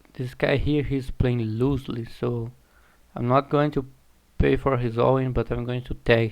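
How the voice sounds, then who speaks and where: Speaking at a moderate pace with a non-native accent, a man keeps a medium pitch in a monotone, flat intonation. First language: not English. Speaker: online poker streamer. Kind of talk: live gameplay commentary. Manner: halting, self-correcting.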